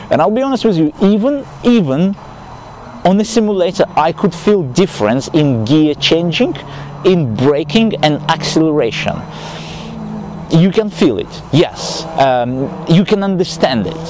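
A man's fairly slow, high-pitched voice, dry and echo-free, over noticeable background noise. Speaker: amateur sim racer vlogger. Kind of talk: casual vlog chat. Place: open country. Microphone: phone near.

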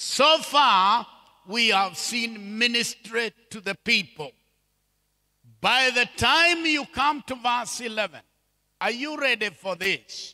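With a raised, projected voice, a man at an extremely high pitch speaks very slowly in a bright, sharp tone, with ordinary pitch variation, long, frequent pauses and a quiet background. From Kenya. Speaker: bishop and preacher. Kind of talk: sermon. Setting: church with congregation. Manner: animated. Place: church. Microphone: handheld.

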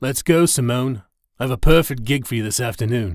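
A man puts on a character voice at a medium pitch. He talks at a fairly quick pace with ordinary pitch variation. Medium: read story. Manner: brusque, rude.

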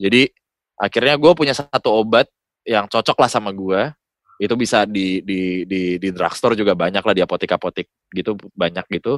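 A fairly low-pitched man at a fairly quick pace with ordinary pitch variation and a dry, close sound with no echo. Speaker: voice-over talent. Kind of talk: casual chat. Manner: animated.

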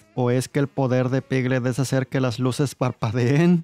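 Faint background music behind a man's monotone, flat delivery, in a dry sound with no echo. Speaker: film reviewer. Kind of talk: commentary. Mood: wry, sarcastic. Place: home room. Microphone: studio mic.

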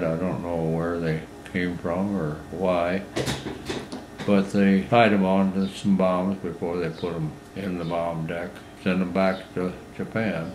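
Amid noticeable background noise, a man with a very deep, low pitch talks at a fairly slow pace. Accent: Midwestern American. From Iowa, USA. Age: 80s+. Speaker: WWII Navy veteran. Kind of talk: interview answer.

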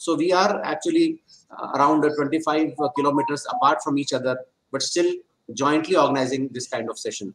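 A man is talking at a fairly quick pace. His pitch varies in an ordinary way. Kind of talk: welcome address. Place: office. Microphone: video call.

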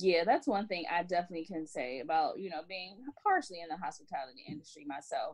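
With lively intonation and a fairly quick pace, an ordinary speaking voice comes through. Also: woman. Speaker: podcast co-host and English teacher. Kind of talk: casual chat.

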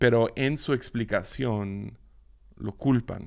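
On a very clean recording with a silent background, a man speaks. His pitch is medium, with ordinary variation. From Mexico, Mazatlán, Sinaloa. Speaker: podcast host, Bible teacher. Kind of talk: devotional Bible teaching monologue. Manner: halting, many repetitions and fillers.

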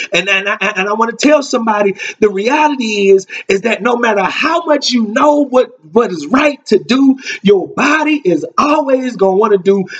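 A man talks at a moderate pace. His pitch is extremely high. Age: 30s. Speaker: minister. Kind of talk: sermon. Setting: live stream. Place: home room. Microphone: webcam.

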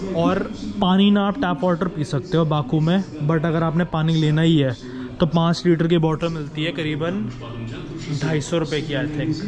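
Over clear background noise, a man with a fairly high pitch speaks at a fairly slow pace. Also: fairly even intonation.

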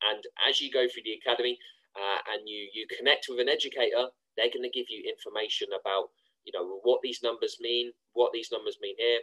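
A man speaks at a fairly quick pace with a British accent. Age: 20s. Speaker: online trading course promoter. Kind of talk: screen-share tutorial.

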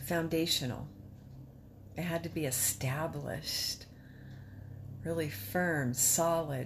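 Noticeable background noise surrounds a woman speaking. Her very deep, low pitch shows ordinary variation and vocal fry. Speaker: patient sharing illness journey. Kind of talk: personal testimony. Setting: self-recorded video. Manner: casual, candid. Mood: reflective, emotional, hopeful. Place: home room. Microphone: phone near.

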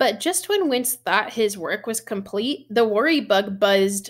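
On a very clean recording with a silent background, a woman speaks at a medium pitch and a fairly slow pace, her intonation lively.

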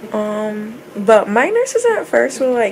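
Light background noise can be heard. The speaker is a woman. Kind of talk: casual vlog chat. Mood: relaxed, chatty. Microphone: phone near.

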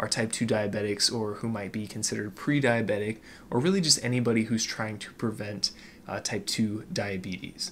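Fairly quick speech with ordinary pitch variation over light background noise. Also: man, fairly low pitch for a man. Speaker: fitness podcast host. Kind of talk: educational podcast monologue. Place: home room. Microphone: studio mic.

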